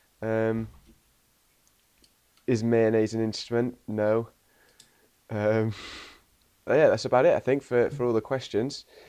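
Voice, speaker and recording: A man's dark, mellow tone in a Welsh accent at a medium pitch, very slow pace and monotone, flat intonation. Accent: posh-sounding Welsh. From Wales. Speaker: interviewer. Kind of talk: casual interview chat.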